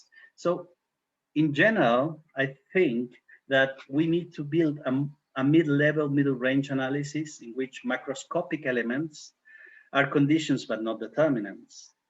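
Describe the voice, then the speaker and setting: A man speaks at a moderate pace with a plain, everyday voice. His pitch is fairly high, with ordinary pitch variation. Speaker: criminology professor. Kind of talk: academic seminar lecture.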